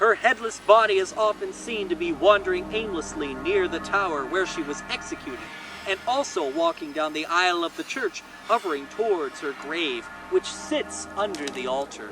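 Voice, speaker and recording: A man speaks loudly at a moderate pace with lively intonation. Music plays in the background. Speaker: horror storyteller, channel host. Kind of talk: spooky storytelling, ghost story narration. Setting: outdoors by a fire, recorded with a shotgun microphone. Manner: projected, loud.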